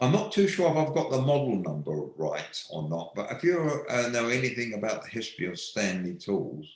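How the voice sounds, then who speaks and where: A man's medium-pitched voice with very wide pitch swings at a moderate pace, with audible room echo. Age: 70s. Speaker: woodworking tool maker. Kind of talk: live online Q&A. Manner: halting, frequent repetitions.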